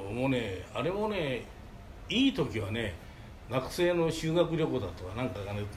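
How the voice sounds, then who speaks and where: The man's lively intonation is heard alongside audible room echo. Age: 80s+. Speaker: manga artist's office manager. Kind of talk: storytelling. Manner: halting.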